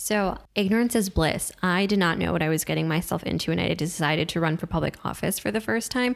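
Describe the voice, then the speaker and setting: A woman's fairly low voice with vocal fry, lively intonation, very even loudness, a fairly quick pace and hardly any pauses. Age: 20s. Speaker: young elected official and student. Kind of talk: casual chat.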